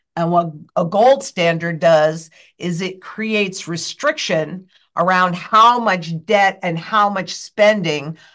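Very slow speech from a woman, fairly low in pitch with ordinary pitch variation, against a quiet background. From United States. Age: 60s. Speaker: financial guest expert. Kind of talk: interview chat. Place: office. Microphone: webcam.

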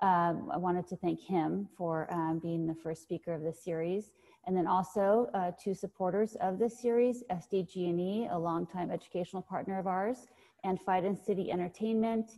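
This woman has a dark, mellow tone and fairly even intonation. She talks at a moderate pace against a quiet background. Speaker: foundation director hosting the event. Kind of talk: event introduction. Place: home room. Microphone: earbuds.

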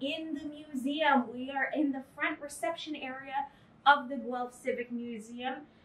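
Fairly slow female speech, high in pitch and with ordinary pitch variation. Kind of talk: casual tour commentary. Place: hall. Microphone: camera far.

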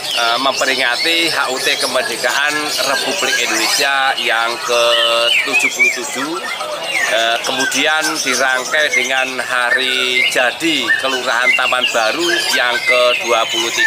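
A man talks at a very slow pace. Behind him, music plays in the background. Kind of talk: interview answer. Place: street.

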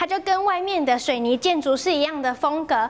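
The speaker is a woman with a high pitch. Her pace is fairly quick. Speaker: travel show host. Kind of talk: travel show presenting. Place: home room. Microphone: lapel.

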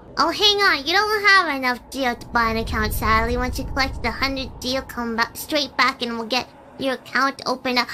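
A woman uses a put-on character voice at a high pitch, moving at a moderate pace with hardly any pauses over clear background noise. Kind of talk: streamer reading game dialogue aloud. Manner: friendly, persuasive sales pitch.

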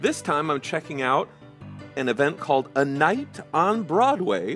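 With music in the background, a man talks at a moderate pace and with lively intonation. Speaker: channel host narrator. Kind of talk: casual narrated photo commentary.

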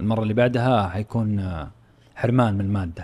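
A man with a Saudi accent speaks at a fairly low pitch. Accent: Saudi Gulf Arabic. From Saudi Arabia. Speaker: football podcast host. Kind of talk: casual sports talk. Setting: studio. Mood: light, joking. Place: studio. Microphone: studio mic.

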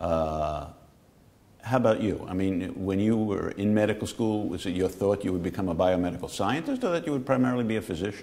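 Talking at a fairly quick pace with an American accent, a man uses a fairly low pitch, ordinary pitch variation and a dark, mellow tone. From New York, the Bronx. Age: 60s. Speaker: physician-scientist moderating the interview. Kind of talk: conversational interview. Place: studio. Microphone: lapel.

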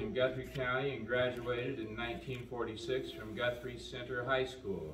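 A man with an American accent at a fairly slow pace, ordinary pitch variation, over noticeable background noise. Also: hardly any pauses. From US Midwest, Iowa. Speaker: eulogist reading an obituary. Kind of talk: graveside-style eulogy, reading the obituary aloud then sharing personal memories. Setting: outdoors at a memorial gathering with mourners. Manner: plain, unpolished reading with frequent 'uh' and 'um' hesitations over names; folksy and gently humorous, warmly sad when reminiscing. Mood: solemn, calm. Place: hall. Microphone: camera far.

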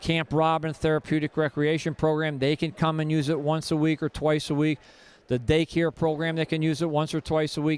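The sound is dry with no echo as the man talks. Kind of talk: interview answer. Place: stadium. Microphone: handheld.

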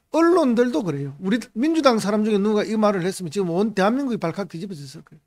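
Over a quiet background, a man talks at a very fast pace with a high pitch, very wide pitch swings and big swings in loudness. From South Korea. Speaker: politician. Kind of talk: political commentary monologue. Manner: animated. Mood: critical, indignant. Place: studio. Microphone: studio mic.

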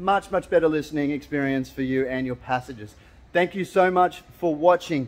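A man with an Australian accent, fairly high pitch, ordinary pitch variation and moderate pace. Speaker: car audio installer. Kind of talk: DIY tutorial talk to camera. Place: workshop. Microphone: phone near.

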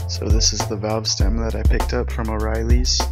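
A man whispers over loud music in the background. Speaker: DIY builder. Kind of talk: DIY tutorial narration. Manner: whispered. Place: garden. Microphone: phone near.

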